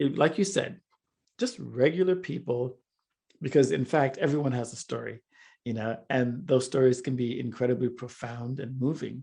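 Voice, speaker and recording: A man speaks at a medium pitch with a somewhat breathy, dark, mellow tone and ordinary pitch variation. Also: moderate pace. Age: 60s. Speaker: filmmaker and multimedia artist. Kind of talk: interview conversation.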